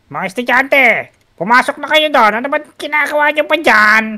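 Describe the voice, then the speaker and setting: Someone puts on a high-pitched character voice and speaks at a moderate pace. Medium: machinima. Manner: menacing, mocking.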